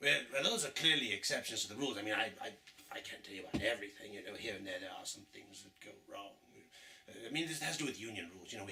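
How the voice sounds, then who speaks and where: A man in a put-on character voice, medium pitch, at a very fast pace. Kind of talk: comic overacting. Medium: solo performance. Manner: theatrical, gloating, punctuated by evil laughs.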